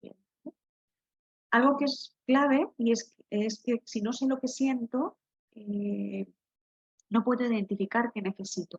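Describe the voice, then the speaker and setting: Soft-spoken and at a very slow pace, a woman with a fairly high pitch and ordinary pitch variation speaks with big swings in loudness and long, frequent pauses, in a dry, close sound with no echo. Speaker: occupational therapist. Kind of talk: online workshop talk.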